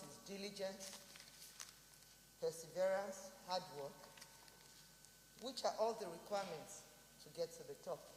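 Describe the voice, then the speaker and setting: With a medium pitch and ordinary pitch variation, a woman speaks at a fairly slow pace, her loudness swinging widely and long pauses coming often amid noticeable background noise. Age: 60s. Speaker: senator. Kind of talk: parliamentary address. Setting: senate chamber.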